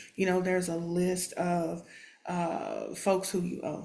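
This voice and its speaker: Audible room echo follows a woman speaking with a Texan accent. Her pace is fairly slow. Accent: Texan American English. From Texas, Houston. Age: 50s. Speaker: special education teacher. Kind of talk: testimony. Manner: hesitant, many fillers.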